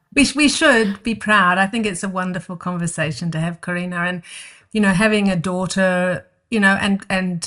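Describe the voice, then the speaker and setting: A woman speaks at a medium pitch in a New Zealand accent. Her tone is bright and sharp, with ordinary pitch variation. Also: quiet background. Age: 60s. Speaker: herbalist and skincare founder. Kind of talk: interview conversation.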